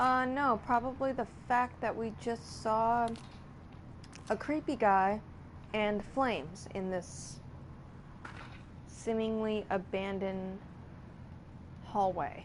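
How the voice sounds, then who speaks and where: A soft-spoken woman with a fairly high voice, at a very slow pace with long, frequent pauses. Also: ordinary pitch variation. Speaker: gameplay streamer. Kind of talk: live game commentary with reading notes aloud.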